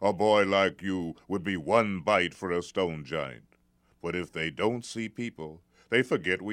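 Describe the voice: The voice is plain reading aloud. Its pitch variation is ordinary.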